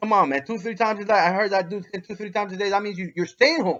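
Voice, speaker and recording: A man's high-pitched voice with a New York accent. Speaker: dog breeder vlogger. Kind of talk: response video monologue. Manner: halting, repetitive.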